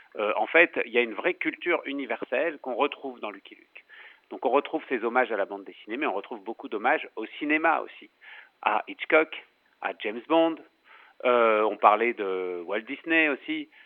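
A man with an unremarkable speaking voice at medium pitch, lively intonation, big swings in loudness, and a fairly quick pace. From France. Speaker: comic book writer. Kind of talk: interview.

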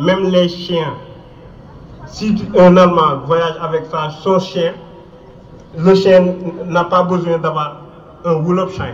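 A man speaks at a high pitch and a very slow pace, monotone and flat, with long, frequent pauses. Audible room echo and noticeable background noise fill the recording. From Mauritania. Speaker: refugee activist. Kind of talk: rally speech.

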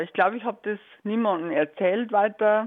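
A normal speaking voice from a woman, fairly high in pitch, with lively intonation. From Bavaria. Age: 50s. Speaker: volunteer prison visitor. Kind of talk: radio interview.

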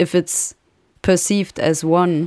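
On a very clean recording with a silent background, a woman with a German accent speaks in a fairly low, monotone, flat voice. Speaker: radio host. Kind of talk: radio interview.

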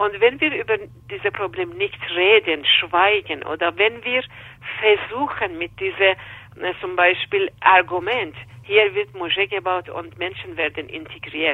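Speaking at a fairly slow pace, a woman with an Iranian accent uses lively intonation. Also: medium pitch for a woman. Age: 50s. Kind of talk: interview. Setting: phone call. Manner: halting, with hesitations.

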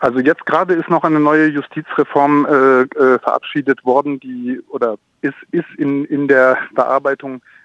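A man's fairly high voice at a moderate pace, with fairly even intonation and a dry, close sound with no echo. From France. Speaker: small farmer and freelance journalist. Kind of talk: interview. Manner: halting, many fillers.

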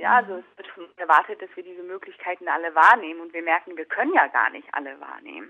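Delivered at a fairly quick pace with lively intonation, this is an unremarkable speaking voice. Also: woman. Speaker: documentary filmmaker. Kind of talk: interview.

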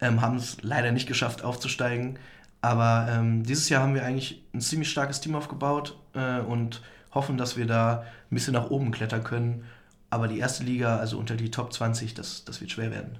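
Delivered in a flat monotone at a fairly quick pace, the speech carries audible room echo. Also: man, medium pitch for a man. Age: 20s. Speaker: student esports club chairman. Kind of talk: interview. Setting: studio.

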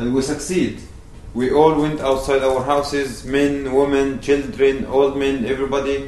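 A man with an Arabic accent speaks at a moderate pace in a fairly high pitch with monotone, flat intonation, with audible room echo and noticeable background noise. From Palestine, West Bank village near Ramallah. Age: 20s. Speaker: activist. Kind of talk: public talk. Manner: halting.

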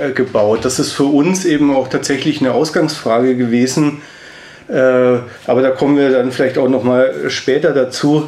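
A man speaks at medium pitch and a moderate pace, with fairly even intonation and very even loudness. Noticeable background noise runs behind him. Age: 40s. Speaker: sculptor and artist. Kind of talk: interview. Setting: studio.

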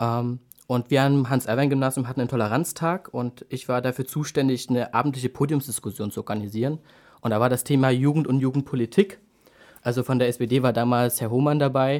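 On a very clean recording with a silent background, a man with an ordinary speaking voice talks at a medium pitch and a fairly quick pace, his intonation fairly even. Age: 20s. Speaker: youth party chairman. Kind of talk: political interview.

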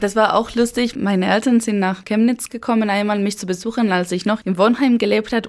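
A woman with a Spanish accent, medium-pitched, fairly even in intonation, at a moderate pace. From Spain, Basque Country (Eibar, San Sebastian). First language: Spanish (speaking German). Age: 20s. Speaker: university student. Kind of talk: interview.

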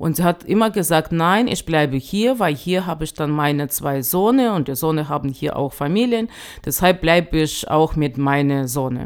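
A woman with a Russian accent speaks at a very deep, low pitch and a moderate pace, her intonation lively. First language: Russian (speaking German). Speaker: association chair. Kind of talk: interview. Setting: studio. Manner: halting, many fillers.

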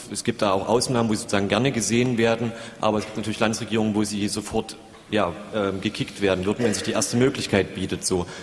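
Over noticeable background noise, a man speaks at a very fast pace in a fairly low, monotone voice with flat intonation. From Saxony, Leipzig. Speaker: community radio volunteer. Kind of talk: audience comment.

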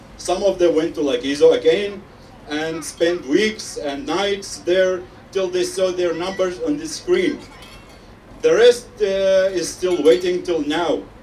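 A man's high voice at a very slow pace, with ordinary pitch variation, audible room echo, and noticeable background noise. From Syria. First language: Arabic (speaking German). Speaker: refugee. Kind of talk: rally speech. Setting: outdoor rally with crowd. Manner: halting.

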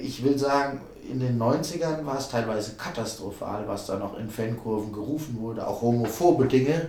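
A man talks at a moderate pace with ordinary pitch variation. Audible room echo and noticeable background noise surround him. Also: medium pitch for a man. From Hesse, Vogelsberg area. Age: 40s. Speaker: festival organizer and football fan activist. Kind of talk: interview.

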